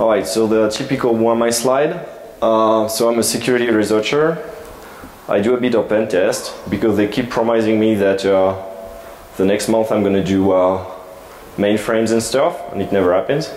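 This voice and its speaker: Amid noticeable background noise and audible room echo, a man of medium pitch speaks at a moderate pace with ordinary pitch variation and very even loudness. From France. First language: French. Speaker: security researcher, conference speaker. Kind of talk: conference talk. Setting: stage with audience. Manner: halting, many fillers.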